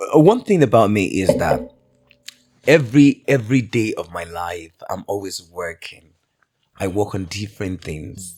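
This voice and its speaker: This man speaks with a British accent, his intonation lively and his loudness swinging widely. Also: fairly low pitch for a man, moderate pace. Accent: acquired British-style. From Nigeria, Oyo town. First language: Yoruba. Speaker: multitalented entertainer. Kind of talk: podcast interview.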